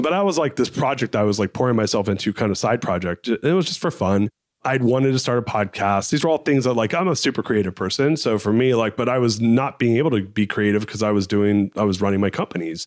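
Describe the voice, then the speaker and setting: On a very clean recording with a silent background and a dry, close sound with no echo, a man with a medium pitch talks in an animated tone at a very fast pace, with lively intonation, very even loudness and hardly any pauses. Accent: American. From Southern California. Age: 40s. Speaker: entrepreneur. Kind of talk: interview. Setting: podcast studio.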